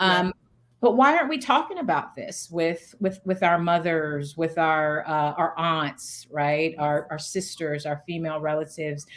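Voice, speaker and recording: With ordinary pitch variation, a plain, everyday voice proceeds at a fairly slow pace. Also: woman, fairly low pitch for a woman. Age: 40s. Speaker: founder and CEO. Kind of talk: interview answer.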